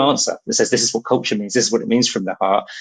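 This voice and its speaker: A man with a British accent, talking at a very fast pace. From Britain. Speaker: company CEO. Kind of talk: podcast interview. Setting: studio.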